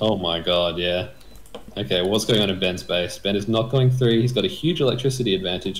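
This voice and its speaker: Somewhat breathy and fairly low, the man's voice moves at a very fast pace with ordinary pitch variation. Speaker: game commentator. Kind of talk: live sports-style game commentary. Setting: video channel, recorded commentary. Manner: animated play-by-play, quick.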